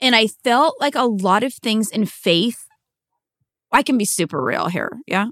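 A woman with an American accent and a normal speaking voice talks at a fairly slow pace and fairly high pitch. Her intonation is lively, and the sound is dry and close with no echo. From Washington State, US (small town outside Seattle). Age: 40s. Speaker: pastor and former missionary. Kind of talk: casual interview chat.

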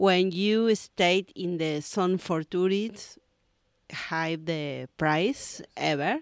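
The speech comes at a very slow pace in an Argentine accent, with ordinary pitch variation. The recording is very clean, with a silent background and a dry, close sound with no echo. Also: woman, fairly low pitch for a woman. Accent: Argentine Spanish (Rioplatense). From Argentina, Buenos Aires. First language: Spanish. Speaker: yoga teacher. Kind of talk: casual interview. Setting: beachside yoga studio. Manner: halting, hesitant non-native English.

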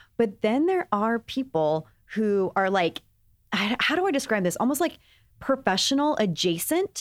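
A woman with an American accent speaks at a fairly high pitch, swinging very widely in pitch while her loudness stays very even. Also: moderate pace. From Texas. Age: 30s. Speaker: beauty podcast host. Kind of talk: casual chat.

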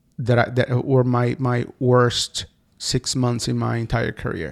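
This man has a Portuguese accent and a medium pitch. His pace is fairly slow. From Brazil. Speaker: advertising agency founder and author. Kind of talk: interview. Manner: halting, many repetitions.

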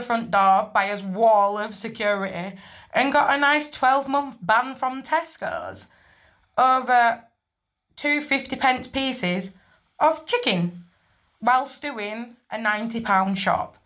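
Speaking very slowly with a northern English accent, a woman uses a fairly high pitch and ordinary pitch variation. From northern England. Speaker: listener sending in a story. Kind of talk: recorded voice message telling a story.

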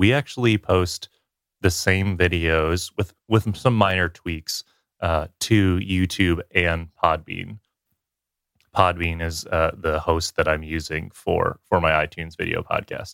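With a dry, close sound and no echo, a man talks at a fairly slow pace in a very deep, low pitch with ordinary pitch variation. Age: 20s. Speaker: video producer and YouTuber. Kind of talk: casual interview chat. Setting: remote recording during a thunderstorm.

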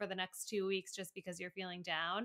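Very fast and bright with a sharp tone, a woman's voice comes through in a dry, close sound with no echo. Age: 30s. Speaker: podcast co-host. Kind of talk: casual chat.

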